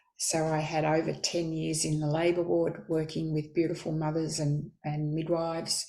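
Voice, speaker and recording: Speaking in an Australian accent at a moderate pace, a woman with a very deep, low voice keeps a monotone, flat intonation and hardly any pauses. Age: 70s. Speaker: midwife. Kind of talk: interview.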